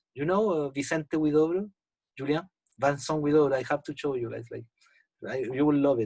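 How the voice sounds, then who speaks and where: A man with a Spanish accent speaks at a fairly quick pace and a fairly high pitch, with ordinary pitch variation, long, frequent pauses, and a dry, close sound with no echo. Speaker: poet. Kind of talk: casual chat. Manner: halting.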